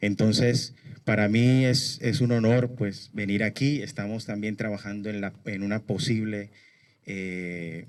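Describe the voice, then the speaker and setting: At a fairly slow pace with fairly even intonation, this is an ordinary speaking voice. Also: man. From Colombia, Barranquilla. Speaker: human rights activist. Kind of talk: speech at a memorial event.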